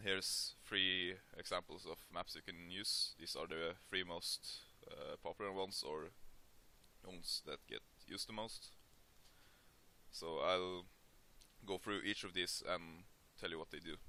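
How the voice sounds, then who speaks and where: Long pauses come often from this man. He talks fairly slowly. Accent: Norwegian. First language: Norwegian. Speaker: 3D modeling tutorial maker. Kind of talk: tutorial. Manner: hesitant, many filler sounds.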